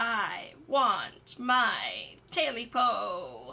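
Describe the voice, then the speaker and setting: Putting on a character voice, a woman sounds croaky and hoarse at a high pitch. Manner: croaking.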